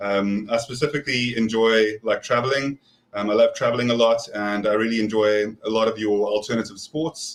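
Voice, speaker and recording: The voice carries a South African accent and moves at a fairly quick pace. Its intonation stays fairly even. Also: man, medium pitch for a man. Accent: South African, noticeable. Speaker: prepper and scout volunteer. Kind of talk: casual panel chat. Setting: live stream video call.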